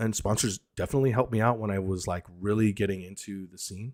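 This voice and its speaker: In a very clean recording with a silent background, a man with a normal speaking voice and fairly low pitch talks at a fairly quick pace with ordinary pitch variation. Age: 30s. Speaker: airsoft streamer and content creator. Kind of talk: casual live stream chat. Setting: live stream. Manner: casual, filler-heavy.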